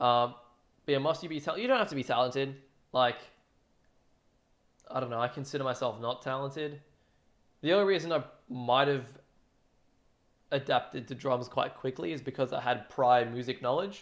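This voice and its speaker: In a very clean recording with a silent background, a man with an Australian accent talks with long, frequent pauses. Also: medium pitch for a man, ordinary pitch variation, fairly quick pace. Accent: thick Australian. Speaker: drum cover streamer. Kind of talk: casual livestream chat. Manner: casual, filler-heavy.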